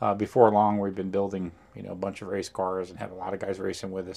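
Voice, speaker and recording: Fairly low in pitch, a man with an American accent uses a normal speaking voice and fairly even intonation. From New Jersey. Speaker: racing driver and team owner. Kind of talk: interview. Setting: at a racetrack.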